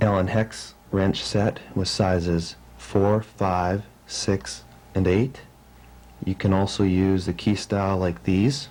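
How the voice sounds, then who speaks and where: This man has a very deep, low pitch and very even loudness, speaking at a very slow pace with ordinary pitch variation. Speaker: motocross racer. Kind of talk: instructional how-to narration. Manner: slow, concise.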